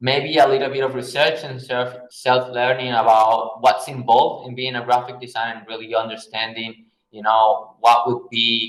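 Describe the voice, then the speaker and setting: A man at medium pitch in a Spanish accent, flat and monotone at a moderate pace, with big swings in loudness. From Venezuela. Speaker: graphic designer. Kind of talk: Q&A talk. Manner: hesitant, many fillers.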